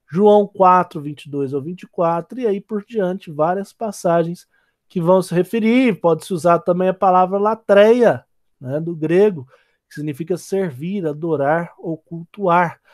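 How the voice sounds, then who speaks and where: Fairly slow speech from a man with a high voice and ordinary pitch variation. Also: dry, close sound with no echo. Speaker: theology lecturer. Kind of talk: lecture. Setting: recorded online class.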